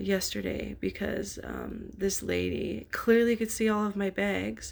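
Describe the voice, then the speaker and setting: A woman speaks quietly. Her pace is fairly slow. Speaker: vlogger in addiction recovery. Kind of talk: casual vlog monologue. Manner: hesitant, many fillers.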